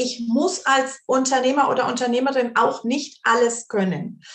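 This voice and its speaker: A woman's high-pitched voice at a fairly slow pace. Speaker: grief counselor. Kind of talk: interview.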